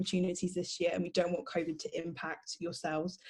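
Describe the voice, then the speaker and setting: A somewhat breathy woman's voice at medium pitch. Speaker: law student and society president. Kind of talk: panel talk. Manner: fast.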